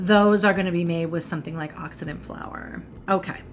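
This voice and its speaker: Faint music plays in the background as a woman speaks fairly slowly in a fairly low voice. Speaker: cooking and makeup vlogger; makeup vlogger. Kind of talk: casual cooking tutorial. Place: home room. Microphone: phone near.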